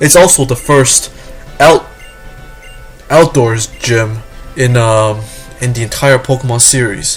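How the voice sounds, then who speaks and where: Music plays in the background as a man speaks at a fairly slow pace. He uses ordinary pitch variation and long, frequent pauses. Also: medium pitch for a man. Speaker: gaming walkthrough commentator. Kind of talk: game commentary. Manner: stuttering, hesitant.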